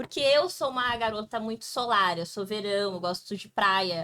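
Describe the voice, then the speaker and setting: A woman has an unremarkable speaking voice, pitched fairly high. Her intonation is lively. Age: 20s. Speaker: podcast host. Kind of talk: podcast introduction.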